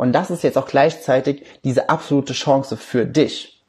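A man's fairly high, somewhat breathy voice. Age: 20s. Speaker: life coach and podcast host. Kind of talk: recorded livestream talk.

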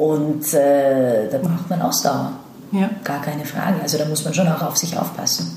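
A woman's very deep, low voice with ordinary pitch variation at a fairly slow pace, over noticeable background noise and audible room echo. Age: 30s. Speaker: actress. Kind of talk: interview. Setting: in-person meeting.

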